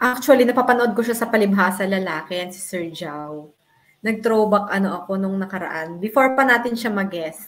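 Big swings in loudness run through a woman's plain, everyday voice, which has medium pitch, ordinary pitch variation and a fairly quick pace. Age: 40s. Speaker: talk show host. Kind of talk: casual interview.

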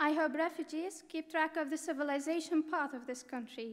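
A woman talks at a moderate pace in an Arabic accent, her pitch high with ordinary variation. The background is quiet. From Syria. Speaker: refugee student; speaker. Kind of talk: prepared speech. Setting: stage with audience at academic ceremony. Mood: earnest, grateful. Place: hall. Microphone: podium.

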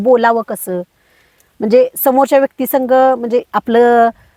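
A woman with a high pitch and fairly even intonation is heard in a dry, close recording with no echo. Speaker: organic farmer. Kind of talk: interview testimony. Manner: hesitant, many fillers.

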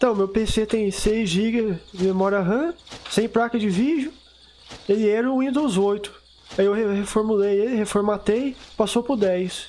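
Over noticeable background noise, a man speaks in a high pitch with ordinary pitch variation and very even loudness. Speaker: gaming youtuber. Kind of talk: gameplay commentary. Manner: fast; casual, unpolished.

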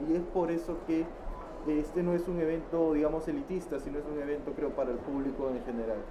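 Noticeable background noise sits behind the voice. A man with a fairly high pitch speaks at a fairly quick pace. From Peru. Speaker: independent book publisher; interviewee. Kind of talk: interview. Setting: book fair stand. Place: hall.

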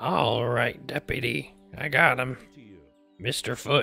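Faint music plays in the background as a man at medium pitch does a put-on character voice at a fairly slow pace. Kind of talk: video game roleplay. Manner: rambling.

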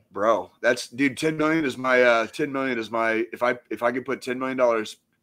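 With an American accent, a man talks at a fairly quick pace in a bright, sharp tone. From Missouri. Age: 40s. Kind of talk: casual chat. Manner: animated. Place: home room. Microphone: studio mic.

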